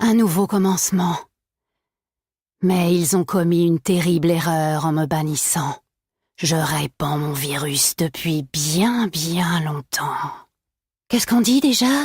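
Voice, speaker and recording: A woman puts on a menacing, raspy character voice, fairly low-pitched with lively intonation, speaking at a fairly slow pace with long, frequent pauses in a dry, close recording with no echo. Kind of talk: video game villain monologue.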